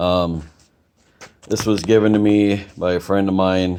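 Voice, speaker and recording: A man mumbles his words. His intonation stays flat and monotone. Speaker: small engine repairer. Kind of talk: casual talk to camera. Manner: mumbling.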